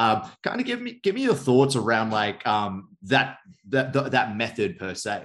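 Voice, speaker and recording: A man talks at a moderate pace and medium pitch with ordinary pitch variation, in a plain, everyday voice. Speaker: podcast host. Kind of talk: casual interview.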